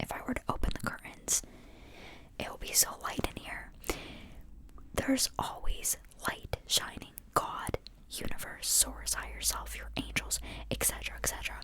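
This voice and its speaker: Over noticeable background noise, the whispered speech moves at a moderate pace and breaks off often for long pauses. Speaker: ASMR podcast host. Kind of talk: spiritual podcast ramble. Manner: whispered or soft-spoken.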